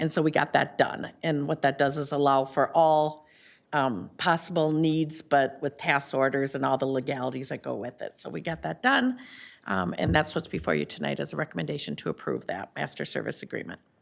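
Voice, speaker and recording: Over a silent background in a very clean recording, a woman talks at a fairly quick pace with vocal fry, a very deep, low pitch, and ordinary pitch variation. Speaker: city administrator. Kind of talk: staff report at council meeting.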